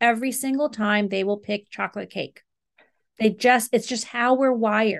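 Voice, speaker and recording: The speech moves at a moderate pace over a quiet background. It is a normal speaking voice with fairly even intonation. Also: woman, fairly high pitch for a woman. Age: 50s. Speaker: marriage and family therapist and meditation teacher. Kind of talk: interview.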